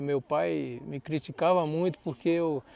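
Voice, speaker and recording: The man's voice has a dark, mellow tone. He talks at a fairly slow pace in a dry, close sound with no echo. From Brasília, central Brazil. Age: 60s. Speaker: agronomist. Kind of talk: life-story interview. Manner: conversational, with false starts.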